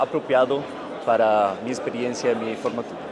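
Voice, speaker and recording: With a Spanish accent, a man talks at medium pitch and with fairly even intonation, over noticeable background noise and audible room echo. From Argentina. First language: Spanish (speaking Portuguese). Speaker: fintech CEO, former lawyer. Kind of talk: panel discussion. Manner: halting, some stuttering.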